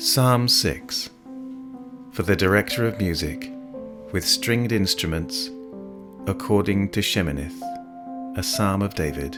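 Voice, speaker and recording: Over music in the background, a man with a British accent speaks at a fairly low pitch and a fairly slow pace, with ordinary pitch variation and long, frequent pauses. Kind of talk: scripture reading. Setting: piano accompaniment.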